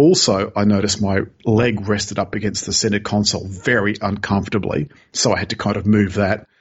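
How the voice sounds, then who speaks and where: Using a plain, everyday voice, a man speaks at a fairly quick pace with a fairly low pitch and fairly even intonation. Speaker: car reviewer. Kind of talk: news reading and chat about cars.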